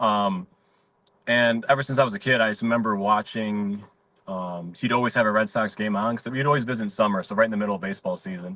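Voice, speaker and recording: A man with a Chicago accent, very fast, fairly low-pitched and bright and sharp in tone, with fairly even intonation. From Chicago, South Side (Mount Greenwood). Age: 30s. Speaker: comedian. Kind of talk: casual chat. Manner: relaxed, filler-heavy.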